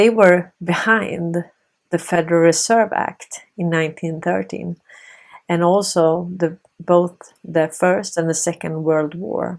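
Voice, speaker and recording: A woman with a Swedish accent, fairly low in pitch, with fairly even intonation at a very slow pace. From Sweden. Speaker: political commentary video host. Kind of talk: monologue commentary.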